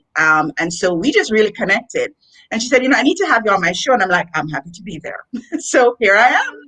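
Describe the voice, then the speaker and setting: Very fast and bright, sharp in tone, a woman with a Jamaican accent speaks at a fairly high pitch, her pitch swinging very widely and her loudness rising and falling a lot. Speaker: education executive and author. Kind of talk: interview. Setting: live video stream.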